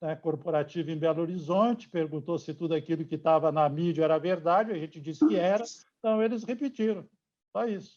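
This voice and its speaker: A man speaks at a moderate pace in a high pitch with ordinary pitch variation. The background is quiet. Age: 60s. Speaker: steel company executive. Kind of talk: interview. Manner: hesitant, many fillers.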